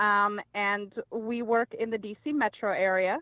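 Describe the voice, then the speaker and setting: This is a woman speaking. She has a slight Australian accent. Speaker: house cleaner, podcast guest. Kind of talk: casual interview storytelling. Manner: many fillers and hesitations.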